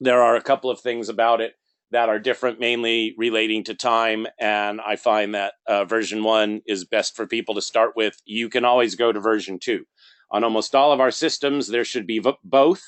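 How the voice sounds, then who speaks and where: Here a man has a plain, everyday voice, speaking at a moderate pace and medium pitch with fairly even intonation. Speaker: software trainer. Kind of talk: tutorial.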